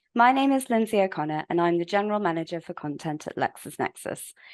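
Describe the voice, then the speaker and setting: A woman with a British accent talks very fast at a medium pitch, her intonation lively, the sound dry and close with no echo against a quiet background. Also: big swings in loudness. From UK. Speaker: webinar host, legal publishing manager. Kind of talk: webinar presentation. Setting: online webinar. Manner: formal.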